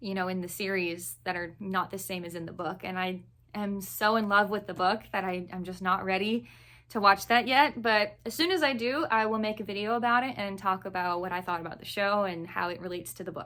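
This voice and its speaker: This woman has an unremarkable speaking voice, with an American accent, a medium pitch, a fairly quick pace and big swings in loudness. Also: ordinary pitch variation. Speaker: book reviewer. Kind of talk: casual chat. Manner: casual with many fillers.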